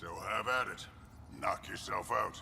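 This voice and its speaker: Over clear background noise, a man uses a raspy, put-on character voice at a moderate pace. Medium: video game. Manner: blunt, laconic.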